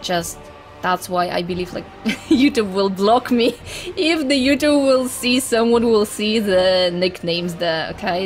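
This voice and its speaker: A woman at a medium pitch with lively intonation, with noticeable background noise. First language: Russian. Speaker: gaming YouTuber. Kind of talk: casual chat. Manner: animated.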